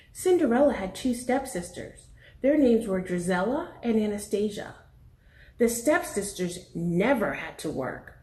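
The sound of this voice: Amid audible room echo, a woman speaks at a fairly slow pace and medium pitch, her dark, mellow tone moving in big pitch swings.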